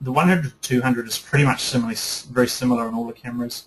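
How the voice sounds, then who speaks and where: Speaking in a New Zealand accent, a man sounds enthusiastic. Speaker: photography teacher. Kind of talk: webinar lecture. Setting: online webinar broadcast. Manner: fast.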